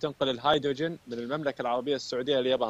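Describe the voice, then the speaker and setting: The man's voice sounds dry, with no echo at all. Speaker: guest. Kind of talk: interview answer. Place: street. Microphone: earbuds.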